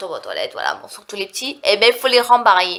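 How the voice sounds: A woman's nasal voice, bright and sharp in tone, with big pitch swings.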